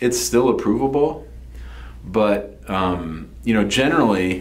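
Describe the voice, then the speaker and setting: A man with a fairly low pitch speaks at a fairly slow pace. His voice has vocal fry and very wide pitch swings. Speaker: immigration lawyer. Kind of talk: explanatory talk to camera. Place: office.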